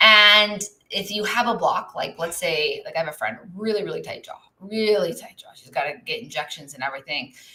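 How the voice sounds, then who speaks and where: This woman talks at a fairly quick pace with lively intonation. Her tone is bright and sharp, and her loudness swings widely. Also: medium pitch for a woman. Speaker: business and legal coach. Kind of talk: live stream teaching. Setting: live stream with chat. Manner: casual, with fillers.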